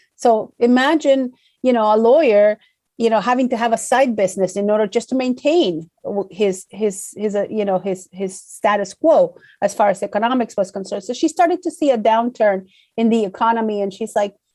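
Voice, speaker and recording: With an Argentine accent, a woman talks at a fairly quick pace in a dark, mellow tone, her fairly high pitch moving with ordinary variation. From Argentina. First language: Spanish. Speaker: corporate public affairs director. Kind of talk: interview. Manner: halting, many fillers and repetitions.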